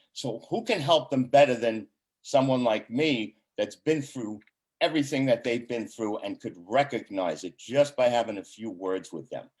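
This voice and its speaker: At a moderate pace, a man talks in an ordinary speaking voice with a medium pitch. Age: 60s. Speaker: chamber of commerce board member and ambassador. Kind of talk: casual interview chat.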